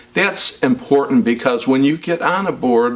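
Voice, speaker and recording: At a moderate pace, a man with an American accent talks over noticeable background noise. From US Midwest, Chicago south suburbs. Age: 60s. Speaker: local politician. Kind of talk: interview. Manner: halting, with frequent fillers.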